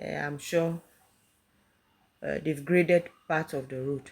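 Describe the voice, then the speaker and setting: A woman with a Ghanaian accent speaks at a fairly slow pace in a very deep, low pitch. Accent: Ghanaian English (Ewe). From Ghana, Volta region. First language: Ewe. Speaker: travel vlogger. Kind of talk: casual vlog narration. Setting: travelling on a road. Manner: hesitant, many fillers.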